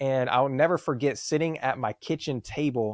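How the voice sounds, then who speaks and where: In a very clean recording with a silent background, a man speaks at medium pitch with ordinary pitch variation, the sound dry and close with no echo. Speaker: business founder, marketing consultant. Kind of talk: podcast interview. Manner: fast; animated.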